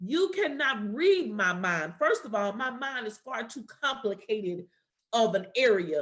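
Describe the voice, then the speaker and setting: Somewhat breathy and animated, a woman talks at a moderate pace in a fairly high voice with very wide pitch swings. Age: 40s. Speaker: podcast co-host. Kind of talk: casual chat.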